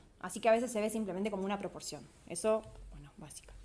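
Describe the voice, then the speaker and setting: With ordinary pitch variation, a woman speaks at a fairly high pitch amid audible room echo. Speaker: PhD student workshop presenter. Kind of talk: lecture.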